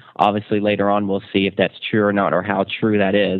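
At a moderate pace and a fairly low pitch, a man talks in a plain, everyday voice. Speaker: TV show host. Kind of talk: casual chat. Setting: studio.

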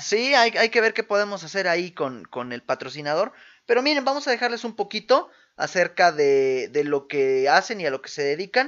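With a Mexican accent, a man talks at a moderate pace in a high pitch with very wide pitch swings. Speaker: podcast co-host. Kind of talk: casual chat. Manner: animated.

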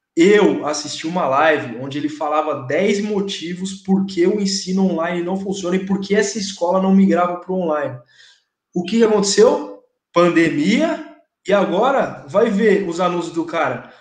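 At a moderate pace, a man speaks in a high pitch with ordinary pitch variation and audible room echo. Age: 30s. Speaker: English teacher and content creator. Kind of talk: casual chat.

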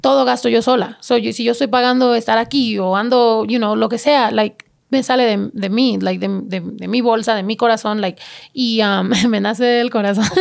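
Her pitch is fairly high. The woman keeps a moderate pace with ordinary pitch variation. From California, Mexican-American. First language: bilingual English and Spanish (speaking Spanish). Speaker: rapper and podcaster. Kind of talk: casual interview chat. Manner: code-switching Spanglish.

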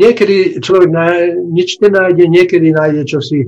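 Here a man speaks at a moderate pace in a dark, mellow tone. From Slovakia, Nové Zámky. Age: 70s. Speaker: retired scientist. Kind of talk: interview.

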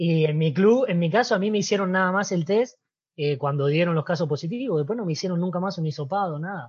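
The background stays quiet. A man's fairly quick speech carries ordinary pitch variation. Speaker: former footballer. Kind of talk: interview.

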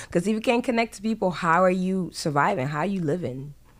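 A woman with a fairly low pitch and an animated tone at a very fast pace, with ordinary pitch variation. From France and Ghana. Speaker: podcast host. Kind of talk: casual monologue.

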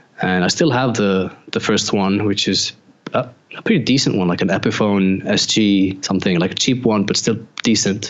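A man with an Icelandic accent, fairly low pitch, fairly even intonation, very even loudness and a moderate pace. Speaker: photographer and former pedal builder. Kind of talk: casual interview chat.

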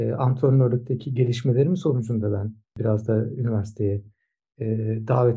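A man speaks at a moderate pace. His voice sits at a medium pitch, with fairly even intonation. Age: 50s. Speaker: swimming coach and sports science professor. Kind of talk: interview. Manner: hesitant, many filler sounds.

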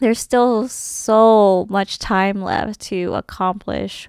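In a very clean recording with a silent background and a dry, close sound with no echo, a woman speaks very slowly at medium pitch with fairly even intonation. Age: 20s. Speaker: solo podcast host. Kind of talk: casual monologue. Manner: halting.

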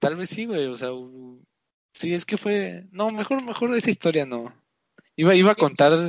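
With long, frequent pauses, a man talks at a moderate pace in a high pitch, his voice swinging very widely in pitch. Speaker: podcast co-host. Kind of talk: casual chat.

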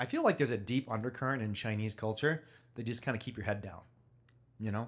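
A man with a Midwestern accent talks very fast at a medium pitch, his intonation fairly even, on a very clean recording with a silent background. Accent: American, Midwest. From US, Chicago. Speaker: podcast host, activist. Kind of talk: interview, casual chat.

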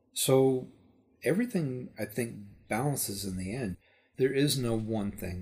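A man with an American accent speaks at a fairly slow pace, somewhat breathy, with ordinary pitch variation, on a very clean recording with a silent background. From Texas. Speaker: electronics engineer, Navy veteran. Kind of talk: casual interview.

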